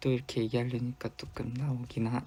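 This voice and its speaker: A very clean recording with a silent background captures a man's voice. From South Korea, Busan. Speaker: K-pop idol. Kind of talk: casual fan livestream chat.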